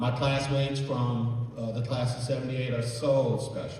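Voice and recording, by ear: A man speaks at a medium pitch with a slightly mellow tone. Strong echo fills the room.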